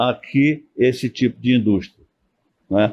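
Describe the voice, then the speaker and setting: A man speaks at a very slow pace. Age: 80s+. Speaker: engineer and business council president. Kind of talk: podcast interview.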